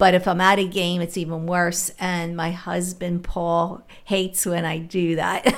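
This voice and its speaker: Using a monotone, flat intonation with hardly any pauses, a woman with an American accent speaks at a fairly low pitch. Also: fairly slow pace. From Philadelphia (West Philly). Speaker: retired special ed worker. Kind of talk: casual chat.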